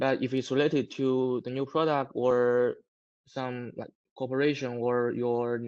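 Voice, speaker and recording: This man speaks with a non-native accent at a medium pitch and a fairly slow pace. His intonation is monotone and flat. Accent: non-native English, self-described weak. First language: Chinese. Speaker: solar equipment manufacturer representative. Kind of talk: live webinar Q&A. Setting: online webinar. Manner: halting.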